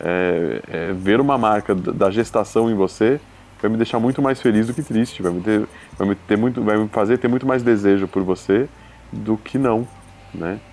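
Moderate-paced talk from a man, fairly low in pitch, with ordinary pitch variation. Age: 30s. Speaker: expectant father. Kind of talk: casual chat.

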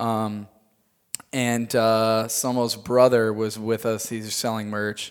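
A man with an American accent, medium in pitch, at a very slow pace with monotone, flat intonation, on a very clean recording with a silent background. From US Midwest, Chicago area, Illinois. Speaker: tour manager and production company owner. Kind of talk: casual interview. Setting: studio in Hollywood.

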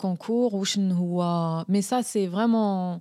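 Very slow speech from a woman with an Algerian accent, medium pitch and fairly even intonation, on a very clean recording with a silent background. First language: Algerian Arabic (speaking French). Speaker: journalist and video maker. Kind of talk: interview.

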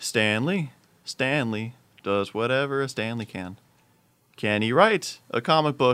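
A man's bright, sharp tone at medium pitch, fairly slow, with ordinary pitch variation, in a very clean recording with a silent background. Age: young. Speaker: college student podcast co-host. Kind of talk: casual chat.

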